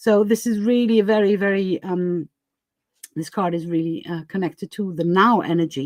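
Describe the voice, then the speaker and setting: A woman at medium pitch and moderate pace, ordinary pitch variation, dry, close sound with no echo, very clean recording and silent background. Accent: non-native. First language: not English. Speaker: tarot reader. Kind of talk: live stream tarot reading. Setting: live stream. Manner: halting, many fillers.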